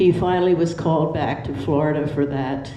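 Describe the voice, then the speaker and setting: Audible room echo surrounds a fairly slow delivery in an American accent. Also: woman. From Pennsylvania. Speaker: retirement community resident. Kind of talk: personal life story. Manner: halting.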